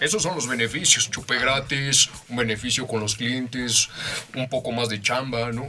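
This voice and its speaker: With music playing behind him, a man talks fairly slowly at medium pitch, his intonation fairly even. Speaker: guest interviewer. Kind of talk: interview. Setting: studio. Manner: formal.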